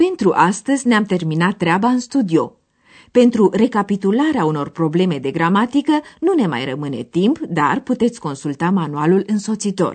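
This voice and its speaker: A woman speaks in a somewhat breathy voice with very wide pitch swings. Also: medium pitch for a woman, moderate pace. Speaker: radio course presenter. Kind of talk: scripted narration explaining a language lesson. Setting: radio studio.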